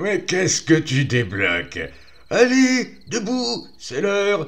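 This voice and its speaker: A man puts on a loud, high-pitched character voice. He speaks at a fairly slow pace. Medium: read story. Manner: blunt, familiar.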